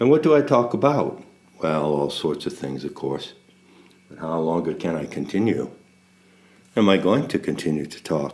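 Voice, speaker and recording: A man with a very deep, low pitch makes very wide pitch swings and big swings in loudness, leaving long, frequent pauses. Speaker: spiritual teacher. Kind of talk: casual monologue. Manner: slow cadence punctuated by silence; pauses, gaps of silence.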